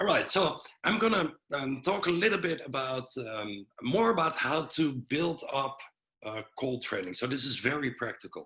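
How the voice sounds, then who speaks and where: A man with a Dutch accent talks at a fairly slow pace. His pitch is fairly high. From Netherlands. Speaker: breathwork and cold exposure coach. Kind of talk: webinar presentation.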